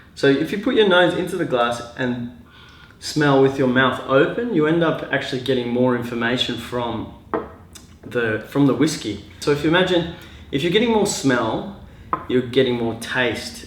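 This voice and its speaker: With an Australian accent and lively intonation, a man speaks amid audible room echo. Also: medium pitch for a man, moderate pace. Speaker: glassware designer and mechanical engineer. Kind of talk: casual tutorial. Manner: halting, many fillers.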